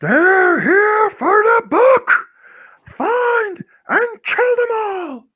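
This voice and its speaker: In a put-on character voice at an extremely high pitch, the speaker drags along at a very slow pace. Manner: scary, commanding.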